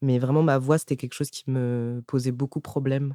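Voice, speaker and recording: The man's medium-pitched voice has a dark, mellow tone and fairly even intonation, recorded dry and close with no echo. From France, Rambouillet area. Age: 20s. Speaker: stand-up comedian. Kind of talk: casual interview chat.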